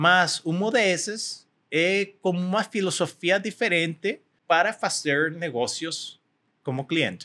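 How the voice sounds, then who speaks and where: A man speaks with a Spanish accent at a high pitch. His tone is bright and sharp. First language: Spanish (speaking Portuguese). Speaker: tech company executive. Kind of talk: interview. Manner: halting.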